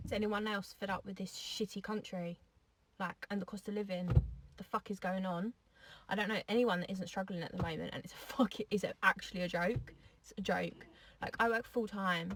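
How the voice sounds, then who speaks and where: A woman's fairly quick speech with fairly even intonation. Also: medium pitch for a woman. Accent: English. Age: 20s. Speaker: social media poster. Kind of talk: angry rant.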